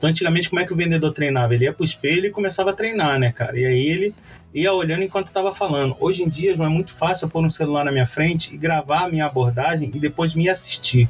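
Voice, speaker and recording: A man with a fairly high pitch at a very fast pace, with hardly any pauses, ordinary pitch variation and very even loudness. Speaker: marketing professor and agency owner. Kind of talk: interview. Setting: remote recording from agency office. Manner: casual, animated.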